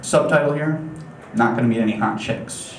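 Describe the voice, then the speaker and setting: A man talks at a fairly quick pace with a medium pitch. Audible room echo and noticeable background noise are present. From upstate New York. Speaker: comedian. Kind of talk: stand-up. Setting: stage with audience. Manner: casual, hesitant with many fillers.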